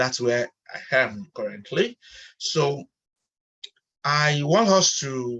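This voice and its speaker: Speaking at a very slow pace with long, frequent pauses, a man uses lively intonation and a fairly high pitch, the sound dry and close with no echo. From Nigeria. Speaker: online chat host and researcher. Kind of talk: online panel chat moderation.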